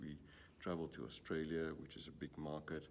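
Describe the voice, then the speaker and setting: Here a man speaks with a South African accent. His pace is moderate. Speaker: gambling industry executive. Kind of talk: interview. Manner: hesitant, many fillers.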